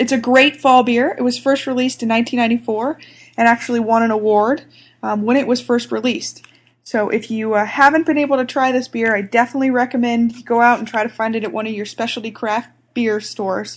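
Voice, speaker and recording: In an American accent, a woman speaks at a very fast pace and a fairly high pitch. Her intonation stays fairly even, on a very clean recording with a silent background. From US South, Atlanta. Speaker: beer reviewer. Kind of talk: product review. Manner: many filler pauses.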